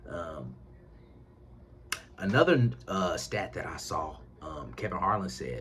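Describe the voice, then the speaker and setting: A man with a very deep, low pitch speaks amid audible room echo. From Indiana. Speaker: sports commentator on YouTube. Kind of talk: casual commentary vlog. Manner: fast; animated.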